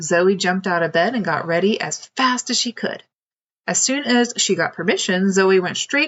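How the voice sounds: It is a natural reading voice set against a quiet background.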